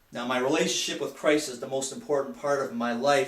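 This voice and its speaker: A man speaks at a medium pitch with fairly even intonation. Noticeable background noise and audible room echo are present. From Michigan, US Midwest. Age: 50s. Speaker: student and lay Bible teacher. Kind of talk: class speech. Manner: halting.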